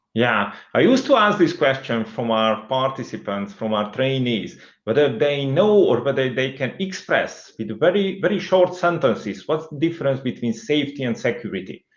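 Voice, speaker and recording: Using a Hungarian accent, a man at a medium pitch speaks at a moderate pace with lively intonation and hardly any pauses. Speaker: CEO of a security training firm. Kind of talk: interview conversation. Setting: recorded interview.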